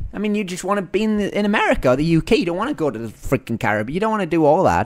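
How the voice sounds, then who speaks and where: A man speaks with a Northern English accent. His tone is animated. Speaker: podcast host and entrepreneur. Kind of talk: podcast monologue.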